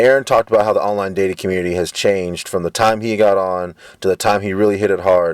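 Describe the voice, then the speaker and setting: In a monotone, flat delivery, a man rattles along at a very fast pace with a very deep, low pitch. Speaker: video blogger. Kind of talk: casual vlog monologue. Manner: halting, stuttering.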